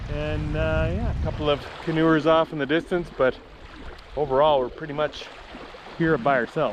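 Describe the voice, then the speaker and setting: A man with a fairly high pitch talks against noticeable background noise. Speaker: vlogger filming family canoe trip. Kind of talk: casual vlog narration. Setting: outdoors.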